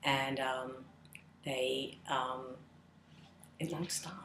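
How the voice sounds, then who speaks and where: A woman speaks with a Philadelphia accent. Her pitch is very deep and low. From Philadelphia suburbs, Huntingdon Valley. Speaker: interviewee. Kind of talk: casual interview chat.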